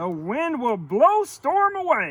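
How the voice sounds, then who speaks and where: In a put-on character voice, a man talks at an extremely high pitch with very wide pitch swings. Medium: read story. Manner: confident, reassuring.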